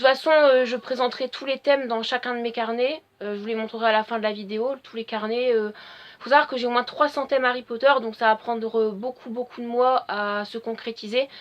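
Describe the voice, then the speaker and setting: A woman's high-pitched voice at a fairly quick pace, fairly even in intonation but with big swings in loudness. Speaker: fan video blogger. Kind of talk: casual solo vlog talk. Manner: hesitant with frequent fillers.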